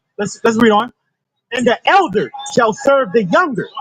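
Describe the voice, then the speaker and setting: Over music in the background, a man with an extremely high pitch speaks at a moderate pace. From US South, the Carolinas. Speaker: street preacher. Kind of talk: street preaching to a crowd. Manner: animated.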